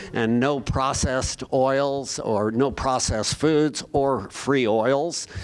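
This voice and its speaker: Speaking with an American accent, a man talks at a very slow pace with hardly any pauses. His loudness stays very even throughout. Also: medium pitch for a man. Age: 70s. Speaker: physician. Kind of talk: lecture. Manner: casual, many filler words.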